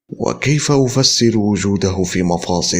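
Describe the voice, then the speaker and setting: A man talks in a very deep, low pitch with very wide pitch swings. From Algeria. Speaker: voice-over artist. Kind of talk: mystery documentary narration.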